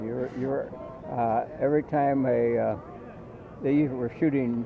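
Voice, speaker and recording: Noticeable background noise accompanies a man speaking at a very slow pace and medium pitch with monotone, flat intonation. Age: 80s+. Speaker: war veteran. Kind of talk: interview answer.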